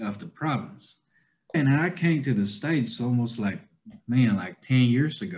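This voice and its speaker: In a Southern US accent, a man talks at a moderate pace in a somewhat breathy voice with lively intonation, over a quiet background. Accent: adopted Southern US. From China, Kunming, Yunnan; Yunnan, China. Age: 20s. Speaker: cowboy content creator. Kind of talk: interview. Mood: relaxed, friendly. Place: home room. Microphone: video call.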